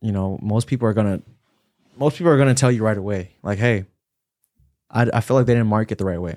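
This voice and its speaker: On a very clean recording with a silent background and a dry, close sound with no echo, a man with a fairly low pitch talks at a very fast pace with ordinary pitch variation and long, frequent pauses. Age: 20s. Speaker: real estate agent. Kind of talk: casual chat.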